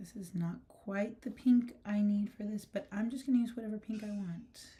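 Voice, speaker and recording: A soft-spoken woman with a dark, mellow tone, somewhat breathy delivery, and fairly even intonation. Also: fairly high pitch for a woman, moderate pace. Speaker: artist and art educator. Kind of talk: live stream art tutorial. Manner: casual, filler-heavy.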